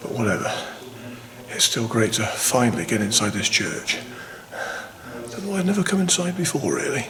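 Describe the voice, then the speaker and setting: A quiet man speaks at a fairly quick pace with very wide pitch swings and long, frequent pauses, amid audible room echo and noticeable background noise. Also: medium pitch for a man. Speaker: walking vlogger. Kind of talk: travel vlog narration. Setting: inside a church. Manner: hushed.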